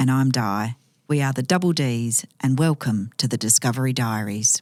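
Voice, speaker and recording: In an Australian accent, a woman with a very deep, low pitch speaks at a moderate pace, with ordinary pitch variation and very even loudness. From Western Australia. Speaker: podcast co-host. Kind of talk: scripted intro.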